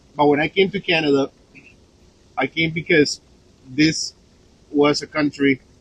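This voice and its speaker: A man speaks with a Spanish accent at a fairly slow pace and fairly high pitch, in a monotone, flat intonation. The sound is dry and close, with no echo. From Colombia. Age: 40s. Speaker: chef and vlogger. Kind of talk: casual talk to live viewers. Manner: halting, many fillers.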